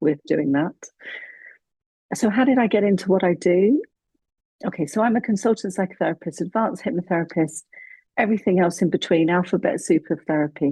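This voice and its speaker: A woman's calm, somewhat breathy voice with a British accent, dark, mellow tone, lively intonation and very even loudness, at a fairly quick pace broken by long, frequent pauses. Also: medium pitch for a woman, dry, close sound with no echo. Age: 50s. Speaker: psychotherapist. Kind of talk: interview podcast.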